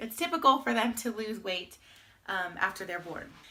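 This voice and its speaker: A woman talks at a moderate pace with ordinary pitch variation. Noticeable background noise runs under her voice. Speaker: vlogger, new mother. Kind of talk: casual vlog update. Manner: loud.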